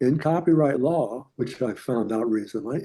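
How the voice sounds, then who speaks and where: Male voice, dark and mellow in tone, with moderate pace and ordinary pitch variation. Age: 80s+. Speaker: painter, illustrator. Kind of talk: interview answer.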